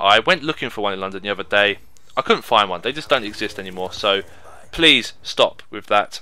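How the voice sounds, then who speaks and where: On a very clean recording with a silent background, a man with a fairly low pitch talks at a fairly quick pace, his tone bright and sharp, with ordinary pitch variation. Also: big swings in loudness. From England. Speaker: gaming YouTuber. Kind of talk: casual commentary monologue. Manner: conversational.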